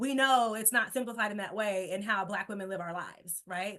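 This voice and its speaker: A woman speaks with a bright, sharp tone. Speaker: public health academic presenter. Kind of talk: webinar presentation. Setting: online webinar. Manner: fast.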